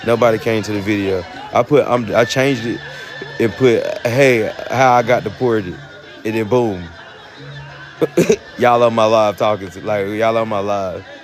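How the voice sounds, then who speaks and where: Over music in the background, a man with a Southern US accent and medium pitch speaks at a moderate pace, taking long, frequent pauses. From North Carolina, US South. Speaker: livestreamer. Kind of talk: casual chat. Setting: livestream. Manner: animated.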